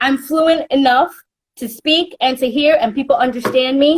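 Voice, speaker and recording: In a New York accent, a woman speaks with a high voice and ordinary pitch variation. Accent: New York American. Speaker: entertainment interviewer. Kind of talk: interview. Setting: Instagram live video call.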